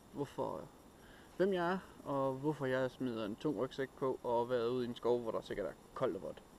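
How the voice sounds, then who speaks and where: Fairly slow in pace, a man speaks at a medium pitch with ordinary pitch variation. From Denmark, Randers (East Jutland). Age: 30s. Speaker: outdoor vlogger. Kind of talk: casual vlog talk to camera. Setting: outdoors in a forest, hiking. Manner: hesitant, with many filler sounds.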